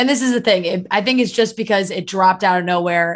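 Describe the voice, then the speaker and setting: With a quiet background behind her, a woman talks in an ordinary speaking voice with ordinary pitch variation. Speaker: podcast host. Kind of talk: casual chat.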